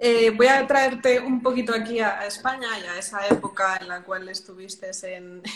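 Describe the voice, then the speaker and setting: With a Madrid accent, a woman speaks at a fairly slow pace, using a fairly high pitch and ordinary pitch variation. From Madrid, Spain. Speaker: podcast host, music industry professional. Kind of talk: interview conversation.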